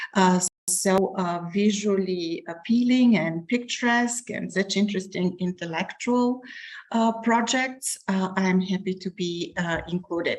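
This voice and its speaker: Speaking at a fairly slow pace, a woman has a medium pitch, ordinary pitch variation and a somewhat breathy sound. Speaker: professor. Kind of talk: academic presentation.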